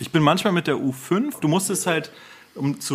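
A man at a moderate pace, fairly high in pitch, with very wide pitch swings. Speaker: lawyer. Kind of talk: casual chat.

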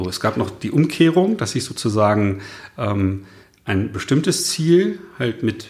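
Very wide pitch swings mark a man's speech at a medium pitch. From northern Germany. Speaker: podcast host, consultant. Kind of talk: casual interview conversation. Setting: in person in Cologne.

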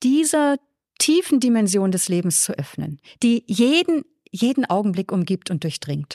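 Dry, close sound with no echo on a very clean recording with a silent background. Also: woman. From northern Germany, Flensburg on the Danish border. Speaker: nun, theologian and author. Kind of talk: casual interview.

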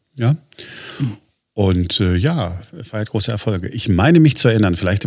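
In a very clean recording with a silent background, a man speaks at a fairly low pitch and sounds somewhat breathy. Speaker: podcast host. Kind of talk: news podcast.

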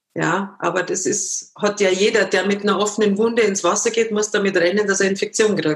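A fairly quick, monotone delivery in a slight Bavarian accent, with hardly any pauses. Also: woman, medium pitch for a woman, very even loudness. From Munich, Bavaria. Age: 50s. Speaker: former professional dancer, amputee. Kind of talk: interview.

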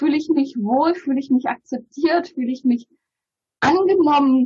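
The voice of a woman, high in pitch, at a moderate speed and with ordinary pitch movement. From Bulgaria. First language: Bulgarian (speaking German). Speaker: publisher. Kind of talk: interview conversation.

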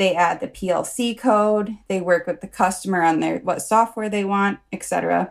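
A woman speaks at a moderate pace with an American accent, her pitch medium with ordinary variation. The recording is very clean, with a silent background. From United States. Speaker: project manager. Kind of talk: casual interview.

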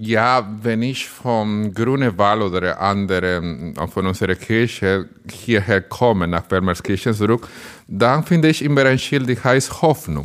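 A man with a Spanish accent, fairly low in pitch, lively in intonation and fairly slow in pace. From Dominican Republic. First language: Spanish (speaking German). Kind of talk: casual interview.

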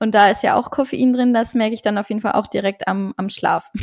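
This woman has an unremarkable speaking voice, fairly high-pitched with fairly even intonation. The recording is very clean, with a silent background. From Luxembourg. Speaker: nutrition and hormone health coach. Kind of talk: podcast interview.

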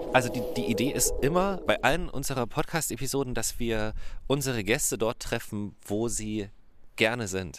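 This man has an unremarkable speaking voice, pitched in the middle range, with lively intonation. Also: moderate pace. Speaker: podcast host. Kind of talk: casual chat. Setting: outdoors.

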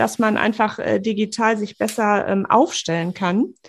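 Vocal fry colors the fairly high-pitched voice of this woman. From Sauerland / Ruhr area, Germany. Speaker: architect and podcast host. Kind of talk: casual interview chat.

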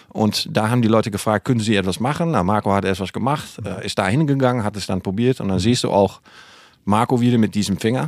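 A man with a Dutch accent and a fairly low voice, talking very fast with ordinary pitch variation on a very clean recording with a silent background. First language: Dutch (speaking German). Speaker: podcast co-host, cosmetics company. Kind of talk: casual chat. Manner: halting.

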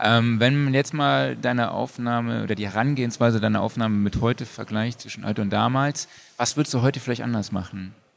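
Here is a man with an unremarkable speaking voice. He talks fairly quickly at a medium pitch. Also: ordinary pitch variation. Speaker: podcast host. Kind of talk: casual chat. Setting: stage with audience.

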